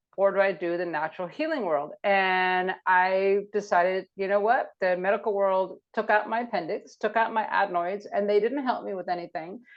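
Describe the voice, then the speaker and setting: A woman talks at a medium pitch. She barely pauses at all. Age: 60s. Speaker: naturopath. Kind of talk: podcast interview. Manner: animated.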